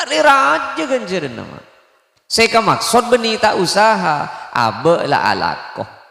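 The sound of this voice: A man's high-pitched voice with vocal fry, a bright, sharp tone and very wide pitch swings. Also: fairly slow pace.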